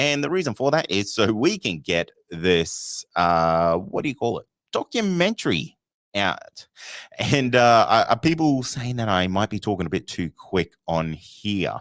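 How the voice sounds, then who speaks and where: A man with an Australian accent and a fairly low pitch talks at a fairly slow pace with very wide pitch swings, on a very clean, dry, close recording with no echo and a silent background. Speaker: podcast host. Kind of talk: live show chat. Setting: live stream. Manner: animated.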